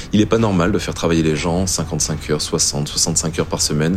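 Through noticeable background noise, a man with a very deep, low pitch speaks at a fairly quick pace with fairly even intonation. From northern France, Flanders. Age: 30s. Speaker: chef and restaurant owner. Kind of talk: testimony.

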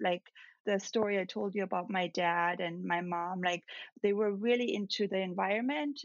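Moderate pace in a German accent. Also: woman, medium pitch for a woman, ordinary pitch variation. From Austria, near Salzburg. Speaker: celebrity makeup artist. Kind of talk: interview.

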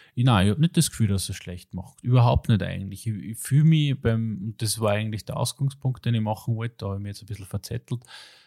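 In a very clean recording with a silent background, a man speaks at a very fast pace and medium pitch, his dark, mellow tone swinging widely in loudness in a dry, close sound with no echo. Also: ordinary pitch variation. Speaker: podcast host. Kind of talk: casual chat. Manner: animated.

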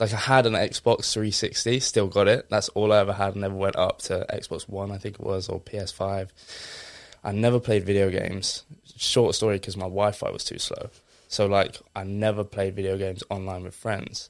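A man with an Essex accent speaks in a fairly low pitch with monotone, flat intonation. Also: moderate pace. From Essex, England. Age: 20s. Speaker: fitness influencer. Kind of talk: casual interview.

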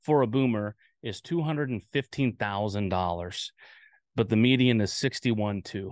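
A man at medium pitch with lively intonation, in a dry, close sound with no echo. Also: quiet background. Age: 40s. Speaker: crypto podcast host. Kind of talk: casual podcast talk. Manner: hesitant, many fillers.

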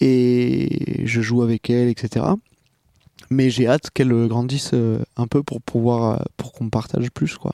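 Dry, close sound with no echo carries a man's dark, mellow tone at medium pitch, delivered at a very slow pace with fairly even intonation. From Marseille, southern France. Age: 20s. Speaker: podcast guest, younger brother. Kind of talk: casual conversation. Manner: halting.

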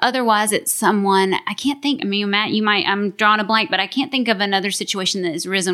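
In a very clean recording with a silent background, a woman speaks at a medium pitch in a bright, sharp tone with ordinary pitch variation. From Kentucky, US South. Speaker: business development lead at wealth management firm. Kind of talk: interview.

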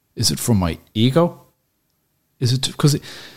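Speaking with a Dublin accent, a man has a somewhat breathy voice with very wide pitch swings. The recording is very clean, with a silent background. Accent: Dublin Irish. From Dublin, Ireland. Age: 40s. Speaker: cafe owner. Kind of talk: casual chat.

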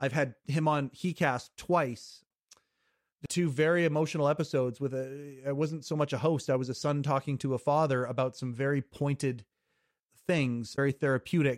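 On a very clean recording with a silent background and a dry, close sound with no echo, a man with a Western Canadian accent speaks at a moderate pace and a fairly high pitch. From Western Canada, British Columbia. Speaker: podcast host. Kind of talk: casual interview chat. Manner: animated.

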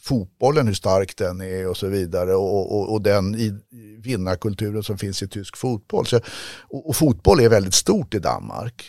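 Recorded very cleanly against a silent background, with a dry, close sound and no echo, a man speaks at a moderate pace in a fairly low pitch with ordinary pitch variation. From Stockholm, Sweden (southern Stockholm). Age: 60s. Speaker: ice hockey coach and federation adviser. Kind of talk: interview. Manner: halting, many repetitions.

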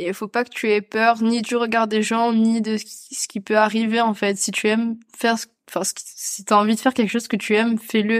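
A normal speaking voice goes at a moderate pace in a very clean recording with a silent background. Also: woman. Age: 20s. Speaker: content creator and photo model. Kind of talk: casual interview chat. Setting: at the host's home.

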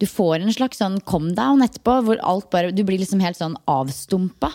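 A woman's dark, mellow tone at medium pitch, with lively intonation and a moderate pace. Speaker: podcast host. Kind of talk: casual chat. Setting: at a kitchen table.

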